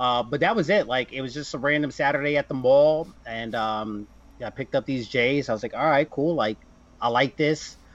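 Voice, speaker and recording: In an American accent, a man with a plain, everyday voice speaks at a medium pitch and a moderate pace with ordinary pitch variation. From New Jersey. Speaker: sneaker collector and influencer. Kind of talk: casual interview chat.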